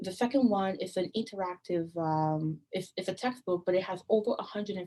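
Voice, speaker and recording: With a dark, mellow tone, a woman speaks with ordinary pitch variation. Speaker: open education coordinator presenting a training; presenter. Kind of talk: online training presentation. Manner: fast. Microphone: webcam.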